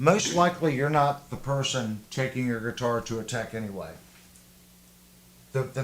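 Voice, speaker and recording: A man at a moderate pace with a slight Southern US accent. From US South. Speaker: guitar livestream host, guitar tech. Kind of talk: casual livestream chat.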